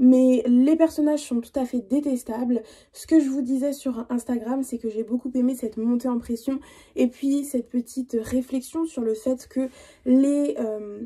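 Speaking fairly slowly, a woman with a high, dark and mellow voice keeps her intonation fairly even while her loudness swings widely. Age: 20s. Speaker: book youtuber. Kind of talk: casual vlog talk.

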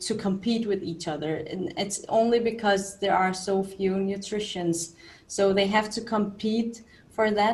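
A somewhat breathy woman at a very slow pace. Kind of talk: lecture. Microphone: webcam.

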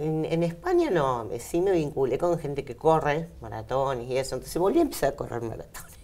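Moving at a fairly quick pace, a woman speaks with hardly any pauses. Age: 40s. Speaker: bodybuilding athlete. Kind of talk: interview. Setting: radio studio. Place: studio. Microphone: lapel.

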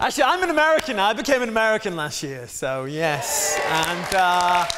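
A man with an English accent speaks at a fairly quick pace in a raised, projected voice, pitched high with very wide pitch swings over noticeable background noise. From England. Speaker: guest preacher. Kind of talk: sermon. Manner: animated. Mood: jovial, joking. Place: church. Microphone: lapel.

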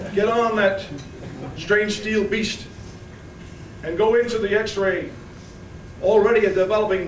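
Fairly slow speech with audible room echo and light background noise. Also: man. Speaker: war veteran. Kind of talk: speech at a reunion. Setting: hotel ballroom. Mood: emotional, recounting battle. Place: hall. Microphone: podium.

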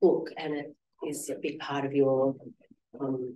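A soft-spoken woman at an extremely low pitch, dark and mellow in tone, slow and with little pitch movement, amid audible room echo.

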